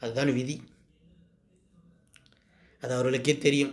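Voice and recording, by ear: Speaking at a fairly slow pace, a man keeps a medium pitch with little pitch movement.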